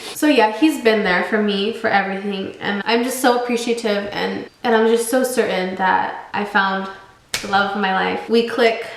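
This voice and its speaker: Fairly even intonation comes at a moderate pace through audible room echo and noticeable background noise. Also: woman, fairly high pitch for a woman. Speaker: YouTuber. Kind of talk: storytime vlog.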